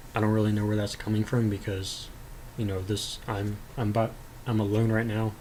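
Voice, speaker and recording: A man talks in a fairly low, somewhat breathy voice with monotone, flat intonation. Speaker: personality-type video creator. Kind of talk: reading and responding to comments, casual monologue. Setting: alone, recording at home. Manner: halting, many fillers.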